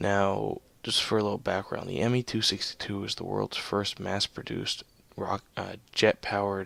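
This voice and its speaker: This speaker is soft-spoken. The pace is moderate. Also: man. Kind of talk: video game commentary. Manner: soft-spoken, subdued.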